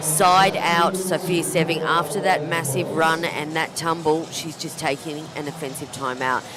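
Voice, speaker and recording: Noticeable background noise sits under a voice whose pitch shifts in an ordinary way. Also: woman. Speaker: pickleball commentator. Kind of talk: live commentary. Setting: commentary booth.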